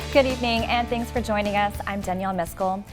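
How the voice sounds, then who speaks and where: Over music in the background, a woman with an American accent speaks at a fairly quick pace in a fairly high pitch with ordinary pitch variation. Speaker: TV news anchor and reporter. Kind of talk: news montage and studio anchor reads.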